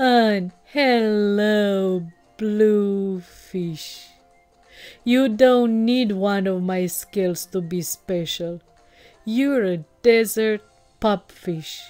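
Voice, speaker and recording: In a put-on character voice, the speaker goes at a very slow pace with long, frequent pauses while faint music plays in the background. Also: woman, medium pitch for a woman. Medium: read story. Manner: proud, then warm and enthusiastic.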